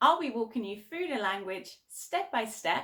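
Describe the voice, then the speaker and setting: A woman's fairly high voice carries a bright, sharp tone, an upbeat tone and lively intonation. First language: German. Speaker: language teacher. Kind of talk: channel introduction.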